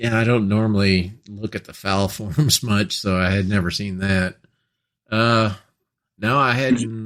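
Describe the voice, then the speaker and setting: With a very clean recording and a silent background, a man with an unremarkable speaking voice and a fairly low pitch talks at a fairly slow pace with fairly even intonation. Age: 60s. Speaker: gun podcast co-host. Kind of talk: casual chat.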